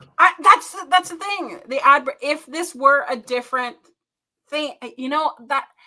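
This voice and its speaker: In an American accent, the speaker uses a raised, projected voice at a fairly slow pace, animated and lively in intonation, with big swings in loudness. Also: woman, high pitch for a woman. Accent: New Jersey accent, stronger when excited. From North Jersey. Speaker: wrestling review co-host. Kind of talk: casual chat.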